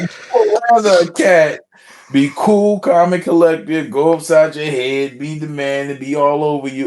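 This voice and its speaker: Against noticeable background noise, a man speaks at a moderate pace with a fairly high pitch and ordinary pitch variation. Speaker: podcast co-host. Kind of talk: casual chat. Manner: loud; animated.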